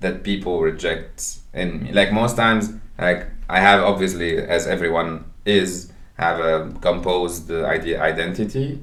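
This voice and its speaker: A man speaks at a fairly slow pace with a very deep, low pitch and ordinary pitch variation. Audible room echo fills the recording. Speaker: podcast co-host. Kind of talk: casual chat. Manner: halting, many repetitions and fillers.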